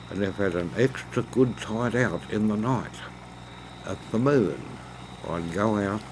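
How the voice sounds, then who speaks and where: A man with a strong Australian accent speaks at a fairly low pitch and a fairly slow pace, with long, frequent pauses. Noticeable background noise runs underneath. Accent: broad Australian. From Australia, Hawkesbury River NSW. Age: 80s+. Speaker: oyster farmer. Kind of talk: interview.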